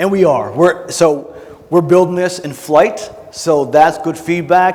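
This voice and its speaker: An energetic male voice at a moderate pace, with ordinary pitch variation and noticeable background noise. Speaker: conference speaker, military veteran. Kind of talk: Q&A at conference session. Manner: loud; casual, energetic.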